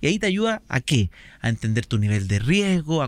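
Swinging very widely in pitch, a man's voice rises and falls. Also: very clean recording, silent background. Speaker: podcast host. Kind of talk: casual interview.

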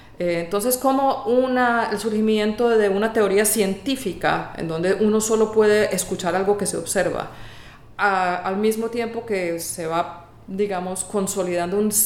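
A woman speaks at a medium pitch and a fairly slow pace. Audible room echo and noticeable background noise fill the recording. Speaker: music professor. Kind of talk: interview.

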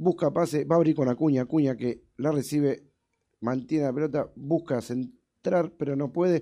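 Fairly high for a man, this voice has a dark, mellow tone and fairly even intonation. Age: 40s. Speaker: sports show host. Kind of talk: live commentary. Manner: fast.

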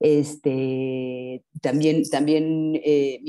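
A woman with a Mexican accent speaks at a very deep, low pitch with a dark, mellow tone. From Mexico. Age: 50s. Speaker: advertising professional and mother. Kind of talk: interview conversation. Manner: halting, many fillers.

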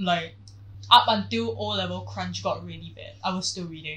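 A woman talks at a moderate pace. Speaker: podcast co-host. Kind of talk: casual chat. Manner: animated.

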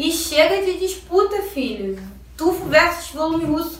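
An animated woman's voice at an extremely high pitch, with audible room echo and noticeable background noise. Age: 20s. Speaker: eyelash extension technician. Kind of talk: vlog rant.

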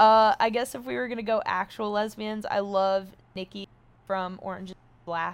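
In a very clean recording with a silent background, a woman with an American accent speaks at a moderate pace and medium pitch. She has a normal speaking voice, with ordinary pitch variation and big swings in loudness. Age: 20s. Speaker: social media personality. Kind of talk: casual chat.

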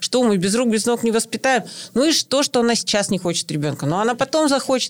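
Lively intonation carries an ordinary speaking voice, with a dry, close sound with no echo in a very clean recording over a silent background. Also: woman. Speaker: mother, podcast co-host. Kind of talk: casual chat.

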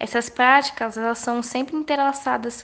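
This woman's voice sits high in pitch. Her intonation stays flat, in a monotone. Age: 20s. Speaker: literacy educator. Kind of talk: interview.

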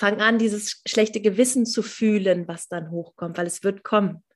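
A woman speaks at a moderate pace in a fairly high, somewhat breathy voice with ordinary pitch variation. The recording is very clean, with a silent background. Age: 30s. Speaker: mentor and coach for mothers, former nurse. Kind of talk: interview.

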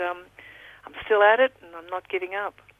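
A woman's medium-pitched voice with an Australian accent. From Victoria, Australia. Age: 60s. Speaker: football club executive and philanthropist. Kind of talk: interview.

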